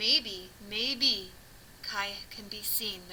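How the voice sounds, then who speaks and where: Clear background noise runs under a woman's put-on character voice at a medium pitch. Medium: read story.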